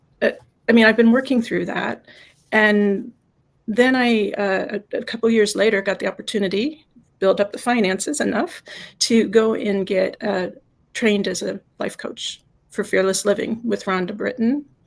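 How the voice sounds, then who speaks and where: A woman's fairly high voice, with ordinary pitch variation and a moderate pace. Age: 60s. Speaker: life coach. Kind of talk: interview. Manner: halting.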